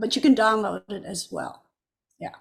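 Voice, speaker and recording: Vocal fry runs through the voice. The speaker is a woman. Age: 80s+. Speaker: musician and activist. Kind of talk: interview. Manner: hesitant, with many fillers.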